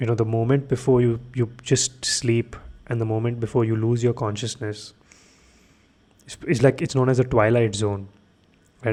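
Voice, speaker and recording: In a very clean recording with a silent background, a man speaks at a moderate pace and medium pitch, his intonation monotone and flat, with long, frequent pauses. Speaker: podcast host. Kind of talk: late-night solo podcast monologue. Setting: home studio, lights off. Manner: monotonous, droning; sleepy, low-energy.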